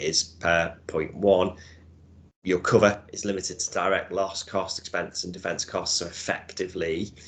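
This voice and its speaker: With a Liverpool accent, a man speaks at a fairly low pitch and a moderate pace in a monotone, flat delivery over a quiet background. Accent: Scouse. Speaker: insurance broker. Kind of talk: webinar presentation. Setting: room with audience.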